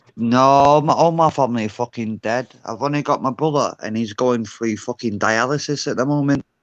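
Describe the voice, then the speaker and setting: A man with a Glaswegian accent speaks at medium pitch and a moderate pace, with ordinary pitch variation and hardly any pauses. The sound is dry and close with no echo, over a quiet background. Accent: Glaswegian Scottish. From Glasgow, Scotland. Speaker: panel caller. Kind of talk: heated debate. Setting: video call on livestream. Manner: sounds aggressive.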